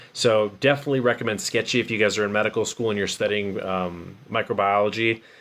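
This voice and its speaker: At a fairly quick pace, a man speaks in a normal speaking voice with fairly even intonation. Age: 40s. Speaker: chiropractor and medical student vlogger. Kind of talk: livestream casual talk. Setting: live stream.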